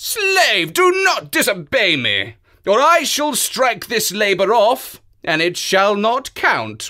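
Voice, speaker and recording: A man talks in a raised, projected voice at a high pitch. His pace is fairly slow. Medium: read story. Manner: haughty, commanding.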